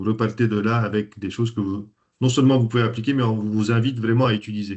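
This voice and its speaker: His pitch falls in the medium range. The speaker is a man. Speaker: systemic coach and trainer. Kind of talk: webinar presentation. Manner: hesitant, many fillers.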